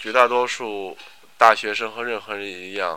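On a very clean recording with a silent background, the voice has a bright, sharp tone and fairly even intonation. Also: man. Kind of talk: reading aloud.

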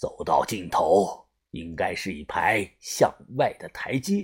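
A man's slow, put-on character voice, low in pitch with a slightly husky edge and lively intonation, in a very clean recording with a silent background.

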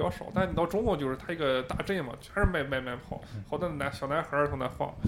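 Noticeable background noise sits under a man who rushes along at a very fast pace, his pitch varying in an ordinary way. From Shandong, southern mountain area. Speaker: podcast co-host. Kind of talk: casual chat. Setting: karaoke room.

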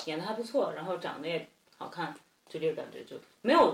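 A woman talks at a fairly quick pace. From Henan, near Shandong border. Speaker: graduate student. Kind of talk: casual chat.

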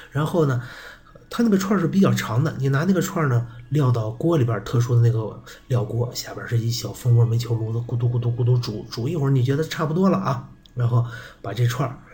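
Amid audible room echo and noticeable background noise, a man talks at a fairly quick pace and medium pitch with ordinary pitch variation. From Shanxi, Yuci (Jinzhong). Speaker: podcast host. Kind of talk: casual monologue. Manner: weak, low-energy.

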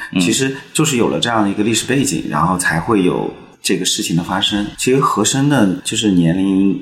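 Amid noticeable background noise and audible room echo, a man with a fairly low pitch and lively intonation talks with hardly any pauses. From Chengdu, Sichuan, China. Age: 40s. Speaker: film director. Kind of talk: podcast interview.

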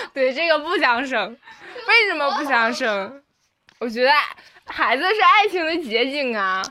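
A raised, projected voice makes very wide pitch swings and big swings in loudness, broken by long, frequent pauses. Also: woman, high pitch for a woman. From Northeast China. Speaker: college student. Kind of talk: casual chat. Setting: dorm room. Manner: halting.

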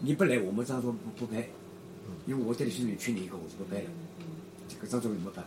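A man with a medium pitch talks at a very fast pace and with lively intonation, broken by long, frequent pauses, over noticeable background noise. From Shanghai (Yangpu district). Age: 70s. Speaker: retired amateur footballer and former dancer. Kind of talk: oral history interview. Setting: home room in an alley.

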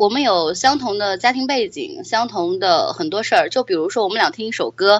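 The woman talks at a moderate pace, her fairly high pitch swinging very widely. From Anhui, central China (Hefei). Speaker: podcast host, storyteller. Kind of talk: casual interview.

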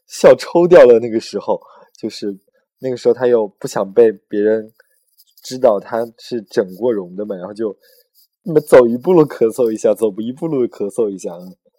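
At a moderate pace, a man speaks at a medium pitch with big swings in loudness, the sound dry and close with no echo. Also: ordinary pitch variation. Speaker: podcast host. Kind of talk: casual chat. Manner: animated.

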